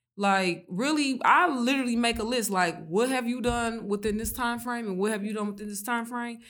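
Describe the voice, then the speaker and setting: A woman with a fairly high voice at a fairly quick pace, hardly any pauses, and audible room echo. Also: ordinary pitch variation. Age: 20s. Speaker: small business owner. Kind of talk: casual chat.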